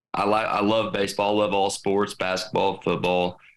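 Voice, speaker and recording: Captured in a very clean recording with a silent background, a man with a Southern US accent speaks at a moderate pace in a fairly low pitch with ordinary pitch variation. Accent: Southern-sounding US. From US Midwest. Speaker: entrepreneur. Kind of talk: casual chat.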